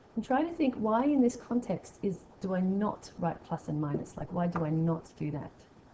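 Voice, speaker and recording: Over noticeable background noise, a woman at a medium pitch and moderate pace makes very wide pitch swings. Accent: Australian. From Australia. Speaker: maths teacher. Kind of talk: tutorial.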